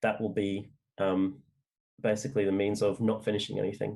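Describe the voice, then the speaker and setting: Fairly low in pitch, a man speaks with an Australian accent at a fairly quick pace. The recording is very clean, with a silent background. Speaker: novelist. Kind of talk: interview. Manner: halting, many fillers.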